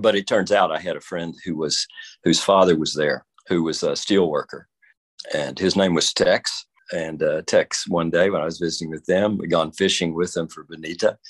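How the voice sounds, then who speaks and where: A man speaks in a Texan accent against a quiet background. The sound is dry and close, with no echo. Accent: Texan southern drawl. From Texas, rural area south of Dallas-Fort Worth. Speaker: Episcopal priest. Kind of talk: interview. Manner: halting, frequent fillers and repetitions.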